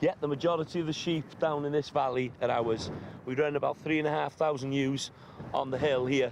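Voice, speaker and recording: Fairly quick and with fairly even intonation, a man speaks at a fairly high pitch in a North Welsh accent. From North Wales. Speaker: farmer. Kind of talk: casual chat.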